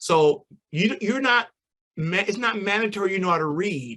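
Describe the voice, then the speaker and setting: A man with a normal speaking voice talks at a moderate pace with ordinary pitch variation. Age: 60s. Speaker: storyteller and museum founder. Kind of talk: presentation to online audience.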